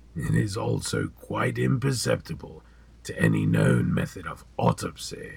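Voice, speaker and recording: Using a raspy put-on character voice, a man speaks very deep and low at a moderate pace. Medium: audio drama. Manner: measured, cryptic, smoothly ominous.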